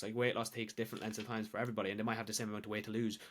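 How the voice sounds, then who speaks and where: A man speaks with an Irish accent at a medium pitch. His intonation is monotone and flat. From Ireland. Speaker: weight loss coach and social media creator. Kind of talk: casual podcast chat. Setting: podcast.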